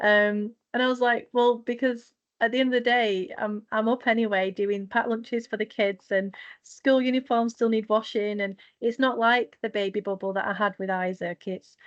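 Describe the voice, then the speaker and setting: A woman speaks at a moderate pace with a northern English accent and fairly even intonation. Her pitch is fairly high, and the background is quiet. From northwest England, Manchester. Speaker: mental health nurse, charity founder. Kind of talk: podcast interview.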